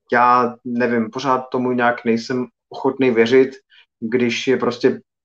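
A man speaks at medium pitch in a monotone, flat intonation. His pace is fairly slow. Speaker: film podcast host. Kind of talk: live video podcast chat.

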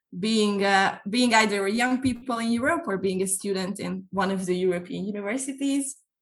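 A woman's fairly high, bright, sharp voice with a Hungarian accent and ordinary pitch variation. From Hungary. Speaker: youth NGO trainer and incoming podcast host. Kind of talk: casual chat.

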